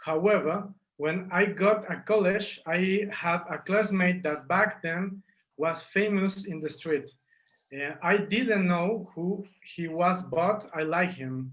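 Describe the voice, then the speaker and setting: Speaking very slowly with a Spanish accent, a man uses a high pitch and fairly even intonation. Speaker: street artist. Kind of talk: interview.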